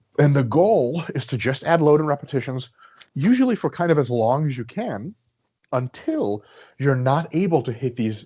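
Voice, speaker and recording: This man's voice is somewhat breathy. He keeps a moderate pace with ordinary pitch variation. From Russia. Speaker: sport physiology professor and coach. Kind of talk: podcast interview answer.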